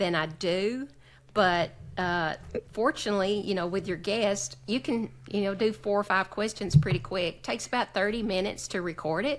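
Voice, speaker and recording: A woman talks in a Southern US accent at a medium pitch and moderate pace, with ordinary pitch variation. The recording is very clean, with a silent background. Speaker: association executive director and podcaster. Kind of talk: casual chat. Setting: podcast recording.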